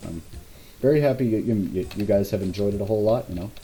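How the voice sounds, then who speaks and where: A man speaks at a very fast pace and fairly low pitch. His tone is dark and mellow, and somewhat breathy. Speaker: game level designer giving commentary. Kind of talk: gameplay walkthrough commentary. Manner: halting, repeats words.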